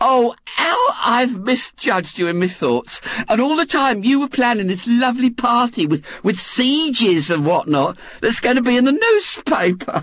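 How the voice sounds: A put-on character voice with a fairly bright tone. The pitch swings up and down in big leaps. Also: man, extremely high pitch for a man, fairly slow pace, few pauses.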